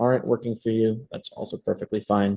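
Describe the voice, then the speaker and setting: Fairly low in pitch with ordinary pitch variation, a man speaks in a dark, mellow tone. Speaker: debate coach. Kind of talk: online workshop. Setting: video call. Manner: fast.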